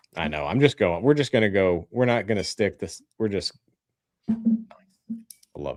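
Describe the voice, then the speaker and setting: Speaking with a Southern US accent at a moderate pace, a man uses lively intonation and takes long, frequent pauses. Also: fairly low pitch for a man. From Tennessee, outside Nashville. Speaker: whiskey channel co-host. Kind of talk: casual chat. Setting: live stream.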